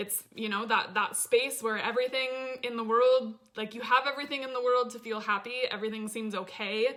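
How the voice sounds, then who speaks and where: A woman speaks in an animated tone at a fairly high pitch. Her pace is fairly quick. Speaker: life coach. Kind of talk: livestream masterclass talk. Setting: live video stream.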